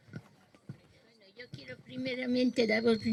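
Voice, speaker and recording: A woman's fairly high pitch at a very slow pace. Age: 80s+. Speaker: civil war veteran. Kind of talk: short speech of thanks.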